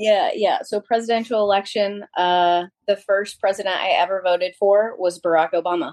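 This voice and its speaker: A woman's medium-pitched, a normal speaking voice at a moderate pace, with fairly even intonation and very even loudness. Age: 40s. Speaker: small business owner. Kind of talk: casual chat.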